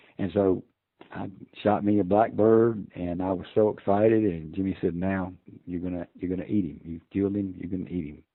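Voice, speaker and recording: Speaking with a Southern US accent, a man with a very deep, low pitch keeps a fairly quick pace and fairly even intonation. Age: 60s. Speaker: hunting call maker and hunter. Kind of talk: interview storytelling. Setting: podcast interview. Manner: hesitant, many fillers.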